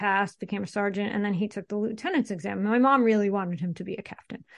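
A woman with an ordinary speaking voice talks at medium pitch with fairly even intonation against a quiet background. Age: 40s. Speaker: investment consultant. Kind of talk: casual interview.

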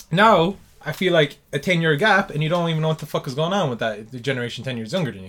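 Talking at a very fast pace with an Irish accent, a man with a fairly high pitch uses lively intonation and big swings in loudness. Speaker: podcast host. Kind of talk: casual chat. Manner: casual, swearing.

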